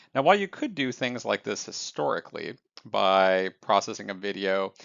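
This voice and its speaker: A man speaks at a moderate pace in a fairly low pitch. His is an unremarkable speaking voice. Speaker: AI news commentator. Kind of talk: scripted news recap.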